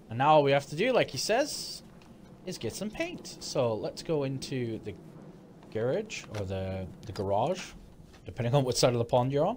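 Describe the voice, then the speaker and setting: The speaker keeps a moderate pace with long, frequent pauses, over noticeable background noise. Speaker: gaming YouTuber. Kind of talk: game walkthrough tutorial. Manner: casual, conversational.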